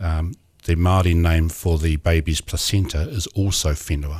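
A very deep, low-pitched man speaks with fairly even intonation and a somewhat breathy quality. The recording is very clean, with a silent background. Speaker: city councillor. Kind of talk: interview. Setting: studio.

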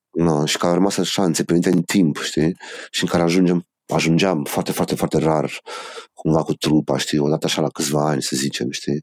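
The man's pitch is very deep and low, with vocal fry and fairly even intonation. His moderate pace comes through with a dry, close sound and no echo. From Romania, Bacău and Cluj-Napoca. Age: 40s. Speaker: rock band singer. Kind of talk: casual interview.

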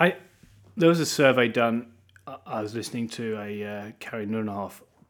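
A man with an East Anglian accent speaks at a medium pitch. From eastern England (Norwich). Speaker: pastor. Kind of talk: interview.

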